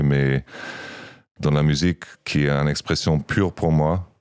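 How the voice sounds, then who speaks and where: A man with a German accent speaks at a very deep, low pitch. His delivery is fairly slow, with monotone, flat intonation. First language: German (speaking French). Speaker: podcast co-host and musician. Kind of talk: casual chat. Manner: halting.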